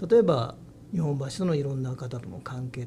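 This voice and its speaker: Somewhat breathy, this man's voice has a dark, mellow tone and a fairly high pitch. He moves at a fairly quick pace with ordinary pitch variation. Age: 60s. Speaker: head of a long-established family business. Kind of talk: interview. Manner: halting.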